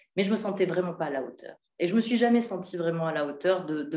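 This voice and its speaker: A woman with an ordinary speaking voice, fairly low in pitch, with lively intonation. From France, Hautes-Alpes. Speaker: novelist. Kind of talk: literary talk. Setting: hotel event with audience.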